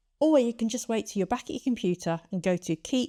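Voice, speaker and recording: The voice moves at a fairly quick pace with a dark, mellow tone and very wide pitch swings, recorded very cleanly with a silent background and a dry, close sound with no echo. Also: woman. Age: 50s. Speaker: channel host and AI educator. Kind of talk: casual instructional talk to camera. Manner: clear, friendly, explanatory.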